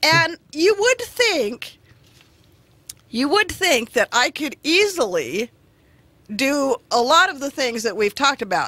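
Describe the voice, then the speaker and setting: A woman's raised, projected voice, bright and sharp in tone, with very wide pitch swings, a fairly slow pace and a dry, close sound with no echo. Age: 50s. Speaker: radio show guest. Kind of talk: casual chat.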